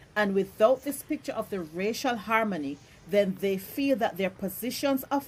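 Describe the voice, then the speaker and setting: A woman talks in a medium-pitched, somewhat breathy voice. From Jamaica. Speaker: social media commentator. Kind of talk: social media rant.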